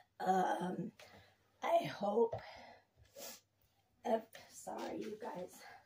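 At a very slow pace, a woman speaks at a medium pitch with lively intonation, vocal fry, and long, frequent pauses. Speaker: lifestyle vlogger. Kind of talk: casual vlog chat. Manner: hesitant, many fillers.

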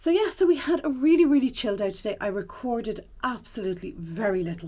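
The woman talks at a very fast pace. Her pitch makes very wide swings. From Ireland. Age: 40s. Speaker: vlogger. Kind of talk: casual vlog talk to camera. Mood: relaxed, chatty. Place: home room. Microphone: phone near.

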